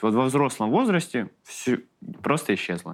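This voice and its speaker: A medium-pitched man's voice with very wide pitch swings, in a very clean recording with a silent background. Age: 30s. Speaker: comedian. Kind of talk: casual chat. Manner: halting.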